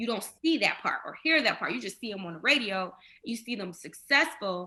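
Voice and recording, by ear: A woman talks at a fairly quick pace with lively intonation. Her tone is bright and sharp, her pitch medium.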